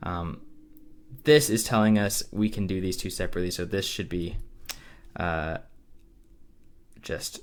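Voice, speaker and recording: Audible room echo surrounds a man whose fairly low voice has ordinary pitch variation. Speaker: math teacher. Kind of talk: lecture. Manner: fast; many filler words (um, uh).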